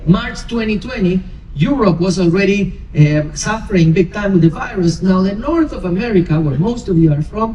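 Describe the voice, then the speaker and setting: A high-pitched man with a Spanish accent and ordinary pitch variation, over noticeable background noise. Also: moderate pace, hardly any pauses. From Argentina, Buenos Aires. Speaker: cruise director. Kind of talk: onboard presentation to passengers. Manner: animated.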